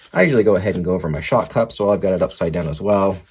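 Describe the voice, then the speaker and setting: A man with an American accent, very deep and low in pitch, at a very fast pace. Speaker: RC hobby video host. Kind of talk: tutorial. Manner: casual.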